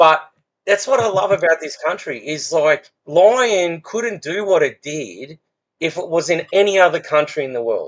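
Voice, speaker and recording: This man has an Australian accent and a high-pitched voice. His intonation is lively and his pace moderate. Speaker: fence business owner. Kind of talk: casual podcast conversation.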